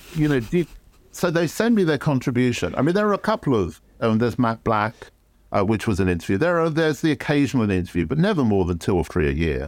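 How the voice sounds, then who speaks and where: A man with a London accent talks at a very fast pace and medium pitch, his pitch swinging very widely while his loudness stays very even. The recording is very clean with a silent background. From London, England. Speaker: photography educator and former magazine art director. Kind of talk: interview.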